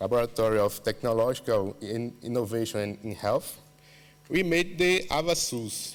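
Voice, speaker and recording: At a fairly slow pace, a man speaks with a Portuguese accent. His medium pitch shows ordinary variation. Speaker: university researcher. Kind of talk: conference presentation. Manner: halting, many fillers.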